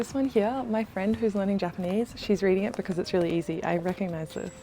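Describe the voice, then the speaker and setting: A soft-spoken woman with a medium pitch talks at a moderate pace as music plays in the background. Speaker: travel and lifestyle vlogger. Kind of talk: casual vlog. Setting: inside a secondhand bookshop.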